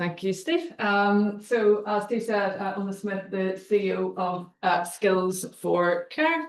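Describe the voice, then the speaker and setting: A woman with a Northern Irish accent speaks very slowly, with hardly any pauses, in a medium-pitched voice. Her pitch varies in an ordinary way, and there is noticeable background noise. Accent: Northern Irish (Belfast). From Northern Ireland, Belfast. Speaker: charity chief executive, guest speaker. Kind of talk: seminar talk. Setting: university seminar room, hybrid event.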